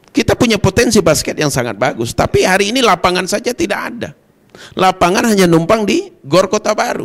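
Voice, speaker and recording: Over a quiet background, a man talks fairly quickly at a high pitch with lively intonation. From Kerinci, Jambi, Indonesia; Jambi, Indonesia. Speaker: provincial legislator; guest. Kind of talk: TV talk show interview. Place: studio. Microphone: handheld.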